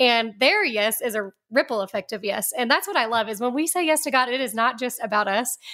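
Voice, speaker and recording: A woman's high, bright, sharp voice, fairly quick with lively intonation and hardly any pauses. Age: 40s. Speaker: ministry director and author. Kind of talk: radio interview. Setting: studio.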